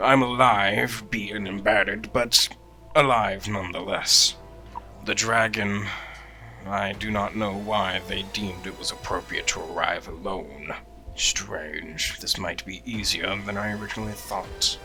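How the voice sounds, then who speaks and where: A man uses a put-on character voice at a fairly low pitch and a moderate pace, with clear music playing in the background. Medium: actual play. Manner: measured, deadpan.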